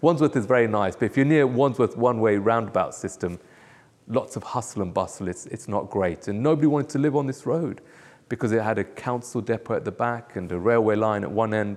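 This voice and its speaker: Talking at a fairly quick pace with a London accent, a man holds a medium pitch with ordinary pitch variation. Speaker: pastor. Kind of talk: testimony interview. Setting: church. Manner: hesitant, with fillers.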